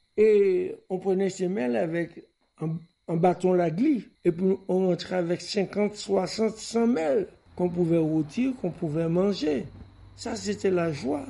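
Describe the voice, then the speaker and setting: Speaking at a very slow pace, a man has a high voice with a dark, mellow tone and ordinary pitch variation. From Martinique, Le François. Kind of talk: recorded childhood memories.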